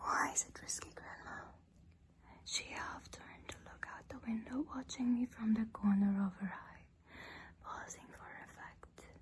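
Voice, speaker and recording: The voice is a woman's whisper. It moves at a fairly slow pace, and its loudness rises and falls sharply. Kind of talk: horror story narration. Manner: whispered, soft-spoken.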